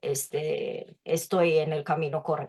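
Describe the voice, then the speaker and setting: Speech at a very slow pace, on a very clean recording against a silent background. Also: woman. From Japan, Tokyo. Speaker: literature researcher. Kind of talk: interview. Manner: halting.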